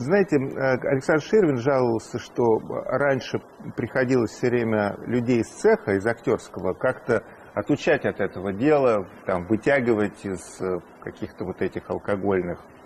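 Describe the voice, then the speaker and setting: A man talks at a moderate pace with lively intonation. Light background noise is present. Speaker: TV interviewer. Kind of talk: interview question. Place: studio. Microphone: lapel.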